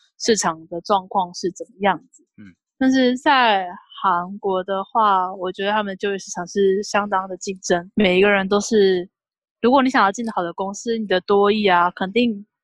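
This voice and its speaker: A woman's medium-pitched voice with fairly even intonation and big swings in loudness, in a dry, close sound with no echo. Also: moderate pace. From Taiwan. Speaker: graduate student. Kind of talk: casual chat.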